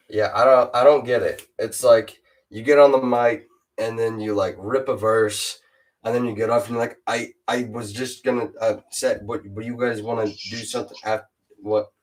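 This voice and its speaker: A man at a moderate pace, monotone and flat, with music in the background. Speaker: rapper. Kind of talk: casual chat. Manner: stutters.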